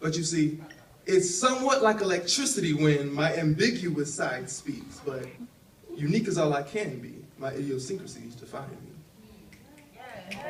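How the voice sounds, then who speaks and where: Big swings in loudness and very wide pitch swings mark this man's fairly high voice. There is audible room echo. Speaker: spoken word poet. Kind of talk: spoken word performance; casual stage talk. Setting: stage with audience. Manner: fast; rhythmic.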